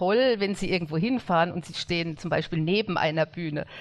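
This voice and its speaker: Using a plain, everyday voice, this woman talks at a medium pitch, her pitch varying in an ordinary way. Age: 60s. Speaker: blogger and former figure skater. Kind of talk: interview.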